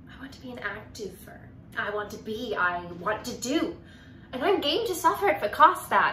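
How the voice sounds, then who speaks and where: The voice swings very widely in pitch and shows big swings in loudness. Light background noise and audible room echo are present. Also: woman, fairly high pitch for a woman, moderate pace. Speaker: actor. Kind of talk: dramatic monologue performance, contemporary then classical. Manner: wry, conversational teenage-girl voice with sarcastic asides; rising to defiant, impassioned outbursts in the classical piece. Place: home room. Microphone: phone near.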